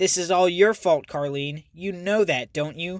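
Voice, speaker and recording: A man does a whiny, nasal put-on character voice at a high pitch and a moderate pace. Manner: whining, blaming.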